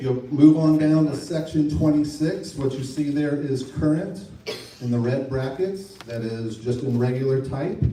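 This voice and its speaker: A man's medium-pitched voice with ordinary pitch variation at a moderate pace, with audible room echo. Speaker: state legislator. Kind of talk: public meeting presentation.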